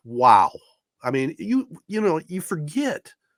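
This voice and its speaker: With very wide pitch swings, a man speaks in an American accent, the sound dry and close with no echo. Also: very clean recording, silent background. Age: 60s. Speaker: sports podcast host. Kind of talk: casual chat.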